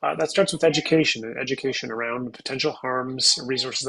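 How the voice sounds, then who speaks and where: A man at a medium pitch, very fast pace and fairly even intonation, with noticeable background noise. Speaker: physician and addiction medicine presenter. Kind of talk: lecture. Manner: halting, many repetitions and fillers.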